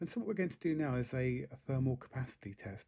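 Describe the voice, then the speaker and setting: A man with a dark, mellow tone speaks at a moderate pace, somewhat breathy. The background is quiet. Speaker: electronics hobbyist reviewer. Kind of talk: tutorial. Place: workshop.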